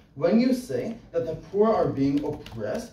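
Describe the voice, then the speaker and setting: The voice makes very wide pitch swings, with audible room echo and light background noise. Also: man. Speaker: competitive debater. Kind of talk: debate speech. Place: classroom. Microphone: camera far.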